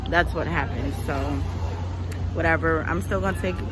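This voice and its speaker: A woman talks in a dry recording with no echo. Crowd noise can be heard behind her. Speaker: travel vlogger. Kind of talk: casual vlog chat. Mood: annoyed, complaining about food. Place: street. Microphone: phone near.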